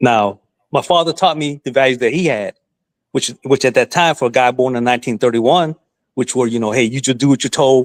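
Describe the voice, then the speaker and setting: An ordinary speaking voice from a man with an American accent, medium in pitch with ordinary pitch variation, at a fairly quick pace, dry and close with no echo, on a very clean recording with a silent background. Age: 60s. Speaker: guest on livestream discussion. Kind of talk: casual chat.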